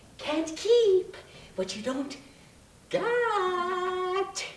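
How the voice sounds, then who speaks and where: A man puts on a character voice pitched extremely high, with a slight echo in the recording. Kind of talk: one-man stage play. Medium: stage. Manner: taunting.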